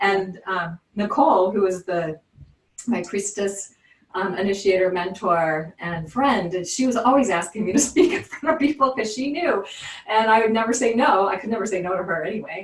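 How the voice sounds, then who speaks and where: A plain, everyday voice, moderate pace and lively intonation. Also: woman, medium pitch for a woman. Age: 60s. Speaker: spiritual teacher and reader. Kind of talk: interview conversation.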